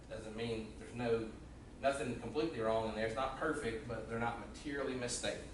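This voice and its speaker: A man speaks at a medium pitch and a fairly quick pace, with fairly even intonation. Noticeable background noise and audible room echo fill the recording. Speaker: auditor. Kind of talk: presentation at a public meeting. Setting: county commission meeting room. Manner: loud.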